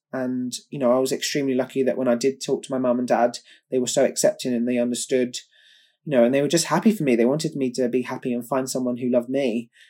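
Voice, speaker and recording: A man with a southern English accent talks very fast at a medium pitch, his tone dark and mellow and his intonation fairly even, on a very clean recording with a silent background. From England, Kent. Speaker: competitive swimmer. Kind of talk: interview.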